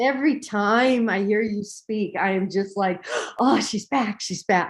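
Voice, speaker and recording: Here is a woman with an ordinary speaking voice at medium pitch. She goes at a fairly slow pace with ordinary pitch variation. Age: 60s. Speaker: meditation participant. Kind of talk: testimony.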